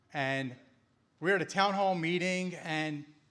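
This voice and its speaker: A man with a high pitch speaks in a Philadelphia accent. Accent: northern US (Philadelphia). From Philadelphia, Pennsylvania. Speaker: law enforcement officer and political speaker. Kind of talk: campaign rally speech.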